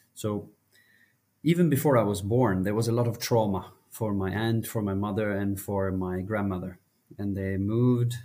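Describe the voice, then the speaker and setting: A man's fairly low voice in a Norwegian accent, dark and mellow in tone, with ordinary pitch variation. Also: moderate pace. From Norway, small village. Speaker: mental health advocate, foundation CEO. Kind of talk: interview conversation. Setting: remote recording.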